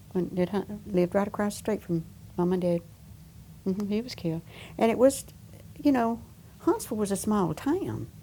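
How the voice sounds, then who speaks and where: A woman with an Alabama accent talks at a moderate pace with long, frequent pauses. Her tone is dark and mellow and somewhat breathy. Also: medium pitch for a woman, ordinary pitch variation. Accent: Southern US, Alabama. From US South. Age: 80s+. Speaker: war veteran worker. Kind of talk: oral history interview. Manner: halting.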